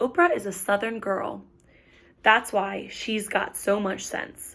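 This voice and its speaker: Putting on a character voice, a woman speaks at medium pitch and a fairly slow pace with a warm, raspy tone. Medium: read story. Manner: warm, affectionate.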